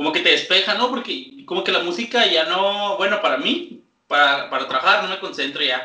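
A man's raised, projected voice at a high pitch, fairly quick, with very wide pitch swings and audible room echo. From Chihuahua, Mexico. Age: 20s. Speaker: podcast co-host. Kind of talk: casual chat.

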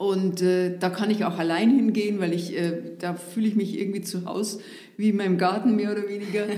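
A woman with an Upper Bavarian accent speaks at a fairly quick pace and medium pitch, with monotone, flat intonation. There is audible room echo and noticeable background noise. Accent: Upper Bavarian intonation, rolled R. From Upper Bavaria, northeast of Munich. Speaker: former district administrator. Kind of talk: casual interview. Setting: studio.

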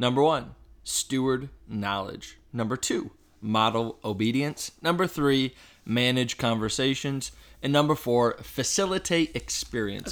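A man does a robotic, put-on character voice. His pitch is medium and his pace moderate. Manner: robotic, rigid, stiff reading.

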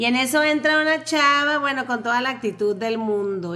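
A woman's animated voice at a fairly quick pace, with very wide pitch swings and noticeable background noise. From Tijuana, Mexico (born in Panama). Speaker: podcast co-host. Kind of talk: casual chat.

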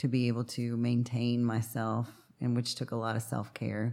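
A man's dark, mellow voice at a medium pitch, on a very clean recording with a silent background. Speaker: recovery counselor, guest's partner. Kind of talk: casual interview.

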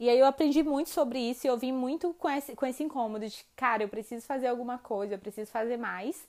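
Hardly pausing, a woman speaks at a very fast pace and a high pitch, with ordinary pitch variation. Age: 20s. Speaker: biologist and environmental activist. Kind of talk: personal testimony.

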